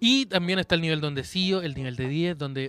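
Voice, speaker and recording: A man with a Chilean accent speaks in an animated tone. The sound is dry and close with no echo, though with noticeable background noise. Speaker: comedy podcast co-host. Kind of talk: casual chat.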